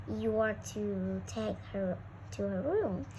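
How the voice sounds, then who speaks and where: Over loud background noise, a husky put-on character voice moves at a very slow pace. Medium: read story. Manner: terse.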